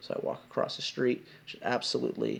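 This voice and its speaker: A man is mumbling as he talks. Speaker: video blogger on abuse recovery. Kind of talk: personal testimony. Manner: animated. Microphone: laptop, volume getting low.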